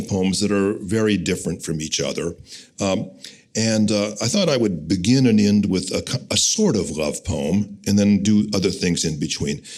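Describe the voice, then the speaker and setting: With an American accent, a man in an unremarkable speaking voice talks at a moderate pace and a fairly low pitch. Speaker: poet. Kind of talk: live talk to an audience before a poetry reading. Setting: live event hall.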